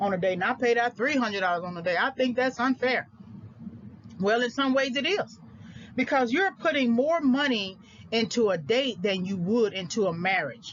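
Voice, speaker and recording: Speaking at a fairly quick pace, a woman has a fairly high pitch. Her intonation is lively. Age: 40s. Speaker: lecturer on personal finance. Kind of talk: audio lecture. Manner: halting.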